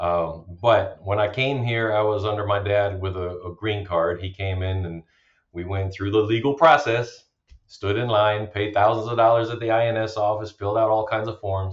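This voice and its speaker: The man sounds somewhat breathy. His intonation stays fairly even. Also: fairly low pitch for a man, moderate pace. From Germany, Romanian parents. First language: German and Romanian. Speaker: bitcoin miner, army veteran. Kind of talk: podcast interview.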